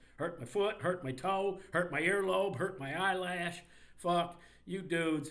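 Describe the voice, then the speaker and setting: High pitch from a man with ordinary pitch variation, amid audible room echo. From Indiana, US Midwest. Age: 60s. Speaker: sports commentator. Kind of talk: rant. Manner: animated.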